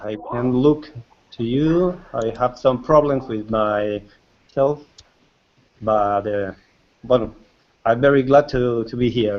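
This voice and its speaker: Speaking very slowly with long, frequent pauses, a man with a Spanish accent uses ordinary pitch variation. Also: medium pitch for a man. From Argentina. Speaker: librarian. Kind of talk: video call meeting. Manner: halting.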